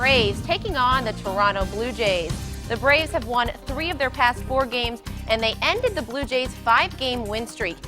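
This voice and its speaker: Over music in the background, a woman with a high pitch speaks at a moderate pace in an upbeat, energetic tone with lively intonation. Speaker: sports anchor and reporter. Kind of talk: TV sports news anchor delivery.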